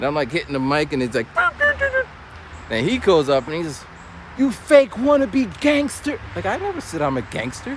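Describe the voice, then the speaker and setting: There is noticeable background noise as a man speaks at a moderate pace. He leaves long, frequent pauses. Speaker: vlogger and former battle rapper. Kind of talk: casual vlog storytelling. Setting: outdoors, walking a trail.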